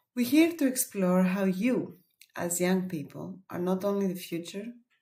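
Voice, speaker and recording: At a moderate pace, a woman with a Greek accent speaks in a dark, mellow tone of medium pitch with lively intonation. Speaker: webinar presenter. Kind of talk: webinar presentation.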